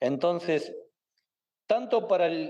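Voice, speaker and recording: This man speaks with an Argentine accent. His tone is dark and mellow. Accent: Argentine Spanish (Rioplatense). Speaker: interview guest on Argentine history. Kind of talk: interview answer. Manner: hesitant, many fillers.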